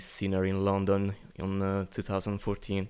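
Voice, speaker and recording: An Italian accent on a very clean recording with a silent background. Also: man. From Italy. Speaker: singer-songwriter. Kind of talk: casual interview. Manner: halting, searching for words.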